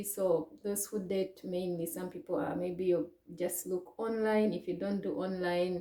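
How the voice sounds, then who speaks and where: Over noticeable background noise, a woman with a Ugandan accent talks at a moderate pace in a medium pitch with ordinary pitch variation. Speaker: vlogger. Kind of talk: personal story to camera. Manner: hesitant, many fillers.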